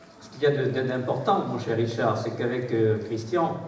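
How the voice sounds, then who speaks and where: Over noticeable background noise and audible room echo, a man talks at a moderate pace and medium pitch. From southern France. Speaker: mayor. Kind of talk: public speech. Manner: halting.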